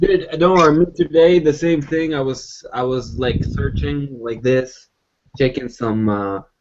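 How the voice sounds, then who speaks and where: A man with an Arabic accent, at a moderate pace. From Arabic-speaking background. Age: 20s. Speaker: podcast co-host. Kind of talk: casual chat.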